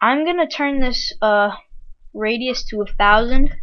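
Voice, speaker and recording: The woman's delivery moves at a fairly slow pace. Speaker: video tutorial creator. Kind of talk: software tutorial. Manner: casual with frequent fillers.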